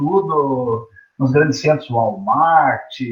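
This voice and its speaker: His voice is somewhat breathy and fairly high in pitch. This man keeps his intonation fairly even. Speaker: teacher. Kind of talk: online lecture. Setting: teaching from home online. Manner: casual, conversational.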